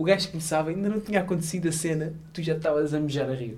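With a European Portuguese accent, a man talks at a very fast pace with ordinary pitch variation, and audible room echo surrounds him. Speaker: podcast host. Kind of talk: casual chat. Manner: animated.

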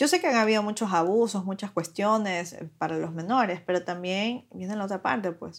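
On a very clean recording with a silent background, a woman in an unremarkable speaking voice keeps a medium pitch, ordinary pitch variation and a moderate pace with hardly any pauses. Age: 30s. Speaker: lawyer and young mother. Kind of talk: casual interview chat.

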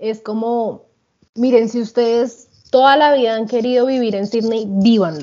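A woman with an ordinary speaking voice talks at a fairly slow pace, fairly high in pitch with fairly even intonation. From Colombia. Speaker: podcast co-host. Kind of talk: casual chat.

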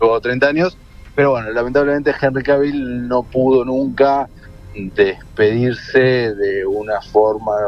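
A man with a Rioplatense accent speaks at a fairly slow pace with fairly even intonation over noticeable background noise. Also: medium pitch for a man. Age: 30s. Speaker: journalist and film critic. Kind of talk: radio interview. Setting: phone call from a car. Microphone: hands-free phone.

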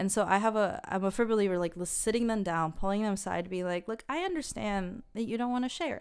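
A woman talks at a very fast pace, with hardly any pauses. Her pitch is medium and varies in an ordinary way. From Mexico and Shanghai, international upbringing. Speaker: early childhood educator. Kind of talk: casual chat.

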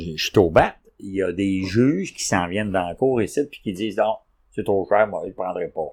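A man talks in an unremarkable speaking voice at a moderate pace. His pitch is fairly low, with ordinary variation. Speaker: podcast host, antique dealer. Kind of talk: casual chat.

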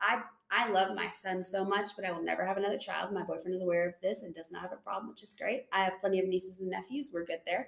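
With hardly any pauses, a woman speaks at a very fast pace in a medium pitch, with ordinary pitch variation and noticeable background noise. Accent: slight Southern US. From Tennessee. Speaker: nurse. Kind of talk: casual chat.

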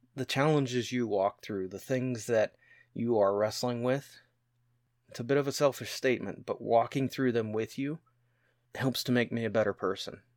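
On a very clean recording with a silent background, the pace is moderate and the pitch variation ordinary in an ordinary speaking voice. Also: man. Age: 30s. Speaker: podcast co-host. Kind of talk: casual chat.

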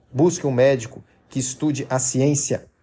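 Dark, mellow and somewhat breathy, the voice moves at a fairly slow pace on a very clean recording with a silent background. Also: man. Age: 30s. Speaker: health podcaster. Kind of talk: persuasive monologue.

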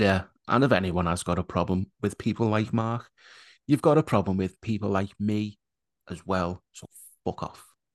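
Here is a man with an ordinary speaking voice, fairly low in pitch with ordinary pitch variation. He speaks at a moderate pace with big swings in loudness, and the sound is dry and close with no echo. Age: 30s. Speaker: podcast host. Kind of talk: casual chat.

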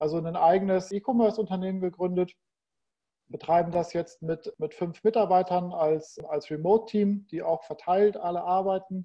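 A man with a high pitch talks at a moderate pace, keeping his intonation fairly even. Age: 40s. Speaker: e-commerce entrepreneur. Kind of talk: casual interview.

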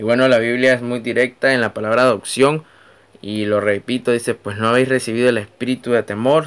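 Here a man speaks with a Nicaraguan accent. His pace is fairly quick. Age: 20s. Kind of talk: devotional talk.

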